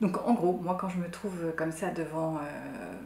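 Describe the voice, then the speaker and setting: Soft-spoken and fairly low-pitched, a woman talks amid noticeable background noise and audible room echo. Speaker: sewing youtuber. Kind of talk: tutorial. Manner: hesitant, many fillers.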